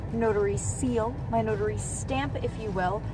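Speaking at a fairly slow pace, a woman sounds dry with no echo. Faint music plays in the background. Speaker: vlogger. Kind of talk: casual vlog chat. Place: car. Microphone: phone near.

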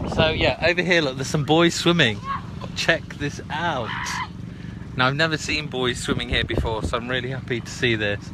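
A moderate pace with a British accent, ordinary pitch variation, a dry sound with no echo and noticeable background noise. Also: man. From Britain. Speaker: video blogger; live streamer. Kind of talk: live stream chat. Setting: outdoors by a river. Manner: casual, with many fillers. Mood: relaxed, cheerful. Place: waterside. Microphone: phone near.

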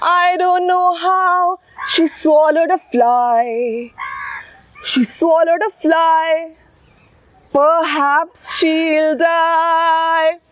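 Speaking at a very slow pace with ordinary pitch variation, a woman's extremely high voice comes through dry, with no echo. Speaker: teacher. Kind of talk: storytelling rhyme performance for children. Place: garden.

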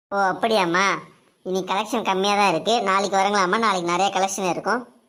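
In a cartoonish character voice, a woman talks at a fairly quick pace with medium pitch and very even loudness. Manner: obliging, salesman-like.

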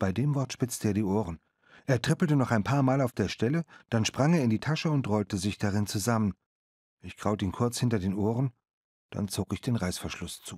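Very clean and dry, the recording has a close sound, no echo and a silent background. A man with a plain, everyday voice speaks fairly quickly at medium pitch, with ordinary pitch variation. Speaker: audiobook narrator. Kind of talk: audiobook narration, first-person reading of a boy's story. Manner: measured storyteller pace, with voices for the waitress.

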